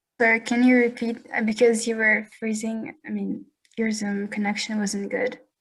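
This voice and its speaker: In a Russian accent, the speaker talks at a moderate pace with a monotone, flat intonation and a somewhat breathy sound. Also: woman, fairly high pitch for a woman. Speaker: audience member asking questions. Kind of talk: Q&A question. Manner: halting, hesitant.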